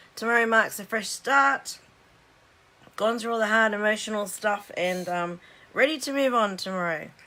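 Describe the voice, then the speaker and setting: A woman with an Australian accent speaks at a moderate pace, her fairly high pitch carrying a bright, sharp tone and lively intonation. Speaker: card-making demonstrator. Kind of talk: live stream craft demo. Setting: Facebook live stream.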